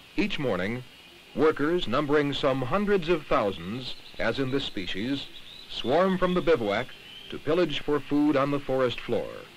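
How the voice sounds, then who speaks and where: Noticeable background noise sits behind a man speaking at a moderate pace. His pitch is fairly high and his intonation lively. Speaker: documentary narrator. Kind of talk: vintage educational film narration, scripted and didactic. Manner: formal, measured, even-paced and authoritative; impersonal and didactic, like a 1960s science film.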